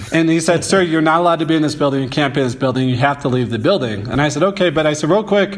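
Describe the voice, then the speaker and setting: Amid noticeable background noise, a man with an American accent speaks at a fairly high pitch with ordinary pitch variation. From St. Louis, Missouri. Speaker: photographer. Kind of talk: interview.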